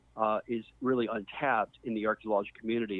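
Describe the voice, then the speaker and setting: A man speaks in a plain, everyday voice at a medium pitch. His pace is fairly quick. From US South, Mississippi. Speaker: archaeologist. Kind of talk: interview.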